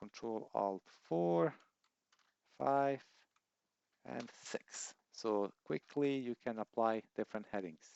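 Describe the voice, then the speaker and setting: A man with a non-native accent, very slow and full of long, frequent pauses, his intonation lively. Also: fairly low pitch for a man. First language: not English. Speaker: software tutorial youtuber. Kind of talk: tutorial.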